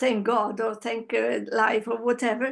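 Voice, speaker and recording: In an Italian accent, a woman speaks at a high pitch. Her pace is fairly slow, and the background is quiet. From Italy. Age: 60s. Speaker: interviewee. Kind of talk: interview. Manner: halting.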